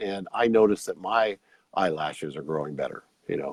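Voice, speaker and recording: A man with an unremarkable speaking voice talks at a moderate pace and fairly low pitch, with ordinary pitch variation and a dry, close sound with no echo. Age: 60s. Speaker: red light therapy product seller. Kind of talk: product demonstration in a show interview. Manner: casual, conversational.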